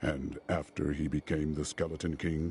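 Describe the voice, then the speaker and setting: A man puts on a character voice with a very deep, low pitch and flat, monotone intonation. He speaks at a moderate pace over clear background noise. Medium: video game. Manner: stern, terse.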